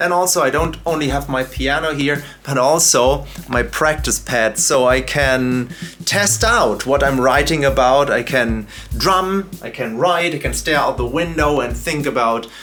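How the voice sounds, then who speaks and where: Over noticeable background noise, a man with a German accent talks with ordinary pitch variation. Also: fairly high pitch for a man, fairly slow pace. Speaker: YouTuber and drum educator. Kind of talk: casual vlog narration. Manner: hesitant with fillers.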